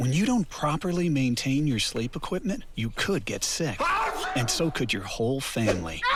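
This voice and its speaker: A man's fairly high voice at a moderate pace, very wide pitch swings, very even loudness and hardly any pauses, amid noticeable background noise. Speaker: voice actor. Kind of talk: TV commercial read.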